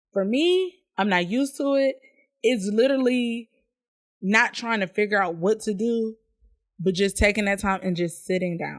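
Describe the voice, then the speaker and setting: A woman at medium pitch with a plain, everyday voice, ordinary pitch variation and a moderate pace. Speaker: podcast host. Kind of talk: live-streamed podcast monologue. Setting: live stream to online audience. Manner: casual, chatty.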